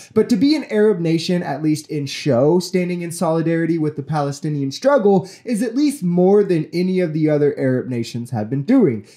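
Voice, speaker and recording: A man with an American accent speaks in a high voice with a dark, mellow tone and very wide pitch swings. He barely pauses, and the background is quiet. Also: fairly quick pace. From United States. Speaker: political commentary youtuber. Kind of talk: commentary on news clips. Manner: indignant, profane outburst against rich Americans. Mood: critical, earnest. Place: home room. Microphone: studio mic.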